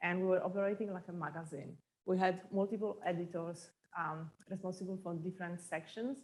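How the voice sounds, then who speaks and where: A woman with a Polish accent talks at a fairly quick pace. Her intonation stays fairly even. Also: medium pitch for a woman. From Poland. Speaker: entrepreneur. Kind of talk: talk to an audience.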